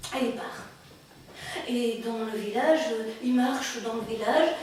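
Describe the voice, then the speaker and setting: Over noticeable background noise, a woman speaks at a very slow pace in a high, playful voice with fairly even intonation. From Belgium. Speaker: storyteller. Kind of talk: live oral storytelling. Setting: live audience event. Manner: burlesque, clownish, playful.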